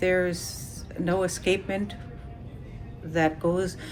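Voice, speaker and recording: A woman speaks with a fairly low voice. Music plays in the background. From Ruby, interior Alaska. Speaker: village resident. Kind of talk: interview. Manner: hesitant with fillers.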